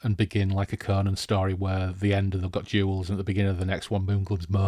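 A natural reading voice is heard. It belongs to someone reading.

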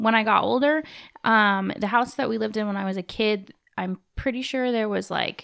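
A woman speaks in a plain, everyday voice, fairly high in pitch, with ordinary pitch variation and a moderate pace. The recording is very clean, with a silent background. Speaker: host's wife, guest. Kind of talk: casual chat. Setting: home bathroom studio.

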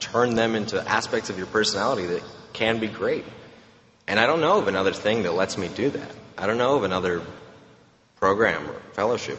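A fairly low-pitched man at a fairly quick pace, with ordinary pitch variation, long and frequent pauses, and audible room echo. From Romania. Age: 20s. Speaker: AA speaker. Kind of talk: testimony. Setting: stage with audience.

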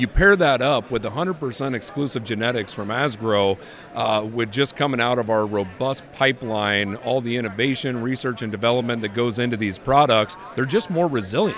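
Over noticeable background noise, a man talks at a moderate pace and medium pitch with ordinary pitch variation and hardly any pauses. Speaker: seed company agronomist. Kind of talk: interview. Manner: halting, many fillers.

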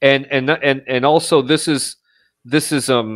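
Speaking in an American accent, a man keeps a medium pitch and ordinary pitch variation. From upstate New York. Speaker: missionary. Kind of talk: casual interview. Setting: video call. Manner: halting, many repetitions.

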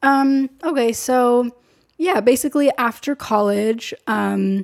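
A woman speaks with ordinary pitch variation. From US West Coast (San Diego, California). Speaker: filmmaker and photographer. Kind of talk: casual interview chat. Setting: living room at home.

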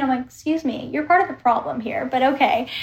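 This woman's voice is high-pitched and animated. Her pitch moves in an ordinary way. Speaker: content creator and equestrian. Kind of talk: casual chat.

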